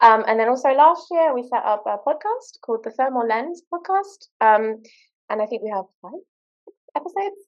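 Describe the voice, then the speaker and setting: A woman speaks at a high pitch in a British accent. Her pitch swings very widely. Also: moderate pace, big swings in loudness. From Britain. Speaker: postdoctoral researcher, workshop co-host. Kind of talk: workshop introduction talk.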